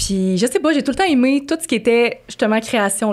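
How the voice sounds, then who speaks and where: Using an ordinary speaking voice, a woman talks at a fairly quick pace with lively intonation. The recording is very clean, with a silent background. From Quebec City, Quebec. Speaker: podcast co-host. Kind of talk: casual chat.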